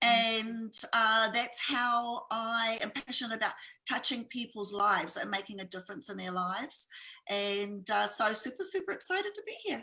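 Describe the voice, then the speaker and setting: Speaking in a New Zealand accent, a woman has a bright, sharp tone, a fairly high pitch, lively intonation and a moderate pace. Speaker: entrepreneur and speaker. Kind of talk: interview.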